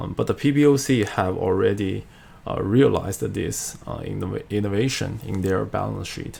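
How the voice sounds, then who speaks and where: A man with a Chinese accent at a moderate pace. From China. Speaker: finance video creator; economics lecturer. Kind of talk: tutorial. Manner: halting, many fillers. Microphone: webcam.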